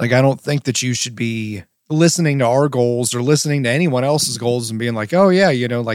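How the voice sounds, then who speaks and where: A man with a medium-pitched, plain, everyday voice is heard in a dry, close sound with no echo. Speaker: wedding filmmaker and podcast host. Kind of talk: casual podcast chat. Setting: studio, sharing one microphone with co-host.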